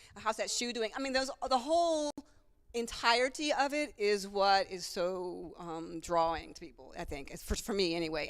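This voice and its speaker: A woman's medium-pitched, animated voice at a moderate pace, with very wide pitch swings and big swings in loudness, on a very clean recording with a silent background. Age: 60s. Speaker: retired elite middle-distance runner and author. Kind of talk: casual interview at a book signing. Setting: store event with live audience, livestream. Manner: halting.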